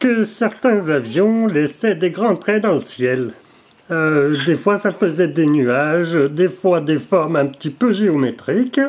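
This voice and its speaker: Very slowly and at a very even loudness, a man with a high voice speaks with lively intonation. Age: 80s+. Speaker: caller. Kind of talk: phone call. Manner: halting.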